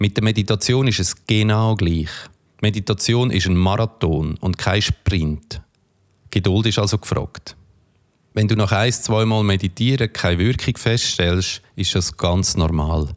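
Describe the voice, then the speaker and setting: On a very clean recording with a silent background, a man uses a normal speaking voice at a fairly low pitch, with ordinary pitch variation, very even loudness and a fairly slow pace. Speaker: podcast host and meditation coach. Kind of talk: guided meditation.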